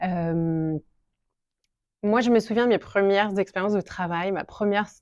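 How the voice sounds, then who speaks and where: Against a quiet background in a dry, close sound with no echo, a woman at medium pitch talks at a fairly slow pace with fairly even intonation and big swings in loudness. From France. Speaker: shop owner. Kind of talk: interview. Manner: hesitant, many fillers.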